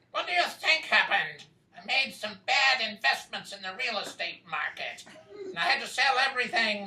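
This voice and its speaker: Slight echo carries a put-on character voice. The pitch sits fairly high. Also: moderate pace. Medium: stage play. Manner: dry, evasive.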